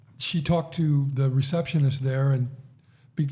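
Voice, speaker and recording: At a fairly quick pace, a man speaks with fairly high pitch, ordinary pitch variation, a dark, mellow tone and a somewhat breathy quality. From United States. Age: 60s. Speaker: podcast host. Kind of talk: casual chat.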